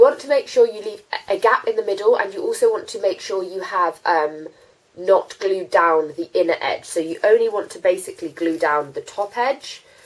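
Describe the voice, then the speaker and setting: A woman with a British accent at a moderate pace, with big swings in loudness. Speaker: beauty vlogger. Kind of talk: tutorial. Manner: casual, hesitant with fillers.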